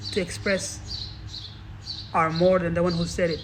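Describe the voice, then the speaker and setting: A man with a non-native accent at a moderate pace, with audible room echo. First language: not English. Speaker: motivational speaker. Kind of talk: motivational talk. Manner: halting.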